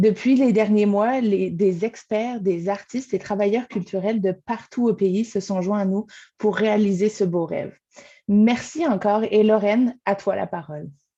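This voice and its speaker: Against a quiet background, a woman with a dark, mellow tone speaks at a fairly slow pace, at medium pitch, with ordinary pitch variation. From France. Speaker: arts programming coordinator. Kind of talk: webinar welcome speech. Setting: video call from home.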